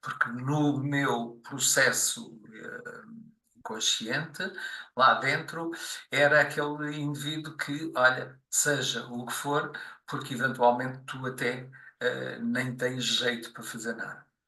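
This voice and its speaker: A man's bright, sharp tone at a fairly high pitch, very slow pace and fairly even intonation, with big swings in loudness and audible room echo. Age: 60s. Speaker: podcast guest. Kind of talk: interview, life story. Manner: halting, many fillers.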